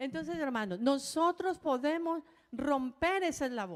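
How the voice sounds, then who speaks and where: The pace is moderate. Pitch swings are very wide. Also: woman. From Colombia. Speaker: pastor's wife, co-preacher. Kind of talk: sermon.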